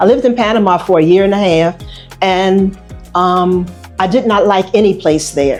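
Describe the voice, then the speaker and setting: A woman with an American accent, music playing in the background. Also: medium pitch for a woman, ordinary pitch variation, moderate pace, very even loudness. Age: 70s. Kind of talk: interview answer. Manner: casual, hesitant.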